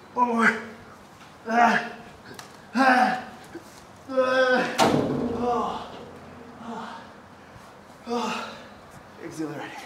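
Over loud background noise and audible room echo, a man talks at a very slow pace with long, frequent pauses and ordinary pitch variation. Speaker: fitness coach. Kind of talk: workout tutorial recap. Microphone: phone near.

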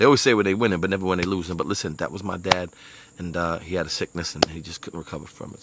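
Over loud background noise, a man with a Brooklyn accent talks very fast in a very deep, low voice, the sound dry with no echo. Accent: New York (Brooklyn). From Brooklyn, New York. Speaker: motivational speaker. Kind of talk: motivational monologue. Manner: animated. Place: garden. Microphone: earbuds.

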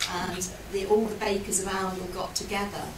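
A woman speaks in a monotone, flat intonation over noticeable background noise. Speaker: lecturer. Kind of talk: lecture. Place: hall.

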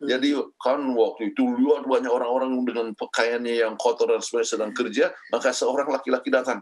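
A man talks at a fairly quick pace. He takes hardly any pauses. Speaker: pastor and marriage counselor. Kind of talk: teaching talk on marriage. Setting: video call from the United States. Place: home room. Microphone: video call.

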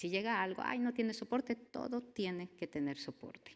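Here is a woman with an unremarkable speaking voice at a medium pitch. She talks at a moderate pace with lively intonation. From Mexico. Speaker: university network engineer; conference presenter. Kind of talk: conference talk. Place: hall. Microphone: podium.

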